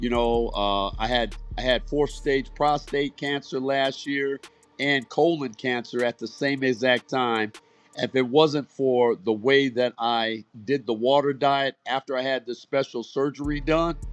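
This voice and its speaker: Music plays in the background as a man talks. His pitch is medium and his pace fairly slow. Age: 60s. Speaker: former navy diver and cancer survivor. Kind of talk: casual chat. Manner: animated.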